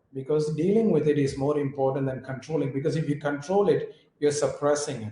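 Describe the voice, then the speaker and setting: A man's somewhat breathy voice with an Indian accent, dark and mellow in tone, fairly quick, with ordinary pitch variation. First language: Indian language. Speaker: yoga teacher. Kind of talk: interview.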